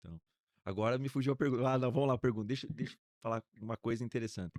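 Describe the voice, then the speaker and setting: This man talks at a very fast pace, medium in pitch with ordinary variation. The sound is dry and close, with no echo. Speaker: pastor. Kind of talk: podcast interview. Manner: calm.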